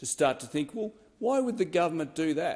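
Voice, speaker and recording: A man with an Australian accent against a quiet background. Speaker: politician. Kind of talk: parliamentary speech. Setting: parliament chamber. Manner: halting.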